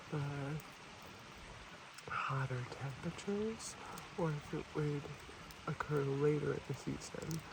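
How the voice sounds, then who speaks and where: The speech is fairly slow with long, frequent pauses. Noticeable background noise runs underneath. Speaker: ASMR creator / environmental educator. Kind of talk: ASMR soft-spoken educational talk to camera.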